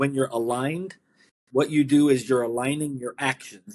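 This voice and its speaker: A man speaks in an ordinary speaking voice. His pitch is medium and his pace moderate. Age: 60s. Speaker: author and midlife transitions coach. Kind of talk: interview.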